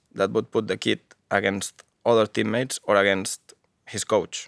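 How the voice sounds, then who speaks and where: A man of medium pitch talks at a moderate pace with monotone, flat intonation, and the sound is dry and close with no echo. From Catalonia, Spain (Barcelona). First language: Catalan or Spanish. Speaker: football coach and coach educator. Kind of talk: interview. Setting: studio. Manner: halting, many fillers.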